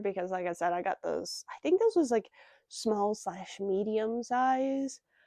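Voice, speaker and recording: A soft-spoken woman with a fairly high pitch and a dark, mellow tone talks at a fairly slow pace, her pitch varying in an ordinary way. The sound is dry and close with no echo, over a quiet background. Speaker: pet product reviewer. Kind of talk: casual product review vlog. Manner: hesitant, filler-heavy. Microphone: new external microphones with phone.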